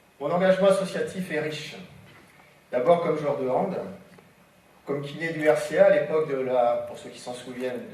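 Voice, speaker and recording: A man at a moderate pace with long, frequent pauses, big swings in loudness, audible room echo and noticeable background noise. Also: fairly high pitch for a man, ordinary pitch variation. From western France, Ancenis area. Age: 60s. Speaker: mayoral candidate, osteopath. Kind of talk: political debate self-presentation.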